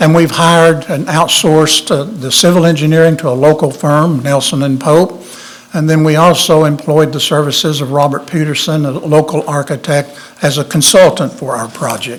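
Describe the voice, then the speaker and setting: A man's fairly high voice keeps fairly even intonation at a moderate pace while noticeable background noise sits behind him. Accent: Tennessee. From Tennessee. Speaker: architect. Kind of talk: public meeting presentation.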